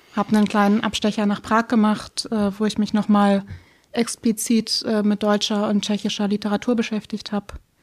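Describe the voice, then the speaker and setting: A woman speaks at a moderate pace in a monotone, flat intonation, somewhat breathy and at very even loudness. The recording is very clean, with a silent background. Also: medium pitch for a woman. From Schleswig-Holstein, Baltic coast, Germany. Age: 20s. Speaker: editor and book blogger. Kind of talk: casual interview. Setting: in-person studio room.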